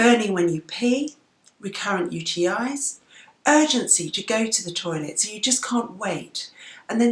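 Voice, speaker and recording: With an English accent, a woman in a fairly high voice speaks at a moderate pace with lively intonation. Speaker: doctor vlogger. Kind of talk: health education vlog. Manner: conversational.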